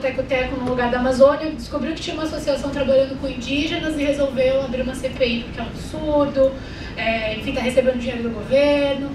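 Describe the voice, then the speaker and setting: A woman talks at a fairly quick pace with a high pitch and fairly even intonation. Noticeable background noise and audible room echo surround her voice. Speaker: speaker on civil society organizations. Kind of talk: presentation at a forum. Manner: fast.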